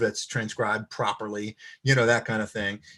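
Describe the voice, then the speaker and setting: Everything behind the speaker is quiet. A man talks at a fairly quick clip. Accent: American. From US East Coast. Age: 60s. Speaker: violinist and composer. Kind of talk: interview. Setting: live-streamed video chat. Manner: hesitant, many fillers.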